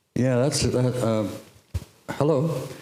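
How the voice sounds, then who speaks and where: A man with a Canadian accent, ordinary pitch variation and a moderate pace, amid noticeable background noise and audible room echo. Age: 70s. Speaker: artist panelist. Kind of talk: panel discussion. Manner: halting.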